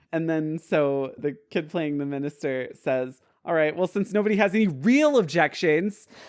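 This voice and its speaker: An unremarkable speaking voice from a man at fairly high pitch and moderate pace, with ordinary pitch variation, on a very clean recording with a silent background. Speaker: podcast co-host. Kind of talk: casual storytelling on a comedy podcast.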